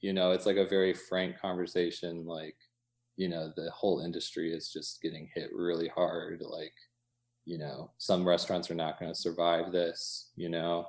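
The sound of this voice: With monotone, flat intonation, a man speaks low at a moderate pace.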